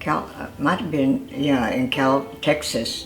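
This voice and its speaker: Music plays behind a woman with an American accent. Her pitch is very deep and low, and her pace is fairly slow. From California. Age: 80s+. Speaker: internment camp survivor. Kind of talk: interview. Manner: halting.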